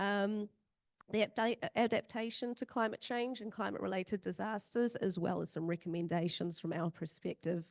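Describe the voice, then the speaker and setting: A woman with a New Zealand accent speaks at a medium pitch. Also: ordinary pitch variation, moderate pace. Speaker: emergency management practitioner and search and rescue volunteer. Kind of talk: conference presentation. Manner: hesitant with many fillers.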